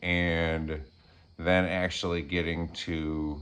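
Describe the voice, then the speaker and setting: A man's very deep, low voice with a bright, sharp tone and monotone, flat intonation. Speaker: vlogger sharing personal experience. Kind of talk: personal storytelling monologue. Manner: hesitant, many fillers.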